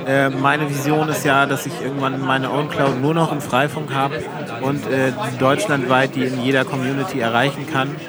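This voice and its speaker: A man's fairly high, monotone voice at a moderate pace, with flat intonation, audible room echo and crowd noise in the background. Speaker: podcast host. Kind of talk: casual chat.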